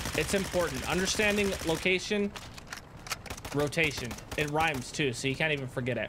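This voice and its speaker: Over noticeable background noise, a man with a fairly high pitch talks at a fairly quick pace with lively intonation and long, frequent pauses. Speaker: gaming YouTuber and streamer. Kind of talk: casual gameplay commentary with tips. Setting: online game voice chat. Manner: animated, casual, chatty.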